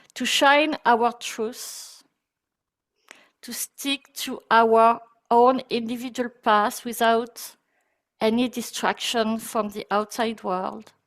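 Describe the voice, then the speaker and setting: A woman's very slow, fairly high-pitched voice with monotone, flat intonation, long, frequent pauses and big swings in loudness. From France. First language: French. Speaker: breathwork teacher. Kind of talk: guided meditation; webinar talk. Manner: soft-spoken.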